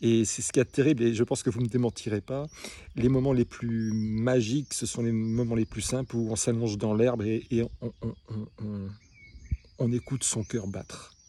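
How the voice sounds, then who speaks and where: A man's dark, mellow tone with fairly even intonation at a moderate pace. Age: 60s. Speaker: small business owner. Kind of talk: personal monologue. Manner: halting; emotional.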